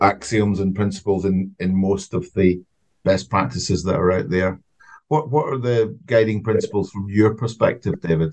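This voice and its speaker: In a Scottish accent, a man speaks with a fairly low pitch and ordinary pitch variation. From Scotland, Glasgow. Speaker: podcast co-host. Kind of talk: casual chat.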